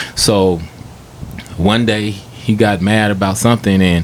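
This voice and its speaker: A man's fairly low, fairly evenly intoned voice over noticeable background noise. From Stockton, California. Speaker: rapper. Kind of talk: casual chat, storytelling. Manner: soft-spoken, laid back; halting, many fillers.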